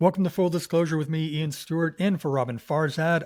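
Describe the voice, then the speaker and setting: A man with an ordinary speaking voice talks at a fairly quick pace and a fairly high pitch. The recording is very clean, with a silent background. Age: 60s. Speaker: podcast guest host. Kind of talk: casual interview chat.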